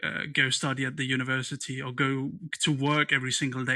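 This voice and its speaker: With a bright, sharp tone and monotone, flat intonation, the voice keeps a moderate pace on a very clean recording with a silent background. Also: man. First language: not English. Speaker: interview show host. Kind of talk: interview. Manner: halting, many fillers and repeats.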